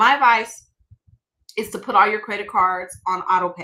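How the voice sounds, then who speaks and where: Animated and bright with a sharp edge, a woman speaks at a medium pitch. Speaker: mortgage broker. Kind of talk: webinar presentation. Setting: live stream. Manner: fast.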